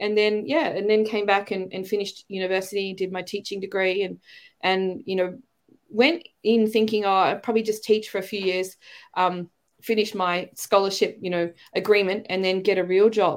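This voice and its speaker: A woman's medium-pitched voice in an Australian accent, fairly even in intonation at a moderate pace, in a very clean recording with a silent background. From Australia, Melbourne. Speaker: teacher and educator. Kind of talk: casual interview chat.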